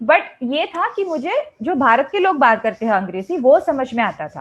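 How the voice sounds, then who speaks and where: With a Malayalam accent, a woman speaks at a moderate pace in a high pitch that swings very widely. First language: Malayalam (speaking Hindi). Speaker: English teacher. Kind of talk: lecture. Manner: conversational, with hesitations.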